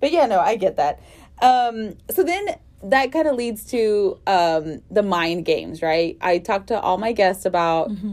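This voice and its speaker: A woman at a fairly slow pace with very wide pitch swings. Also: medium pitch for a woman. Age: 30s. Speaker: podcast host. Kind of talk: casual chat.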